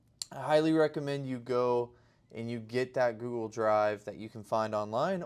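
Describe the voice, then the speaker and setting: Very clean and silent in the background, the recording has a man speaking in an unremarkable speaking voice at a medium pitch and moderate pace, with ordinary pitch variation. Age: 20s. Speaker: day trader video diarist. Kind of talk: casual video diary to camera.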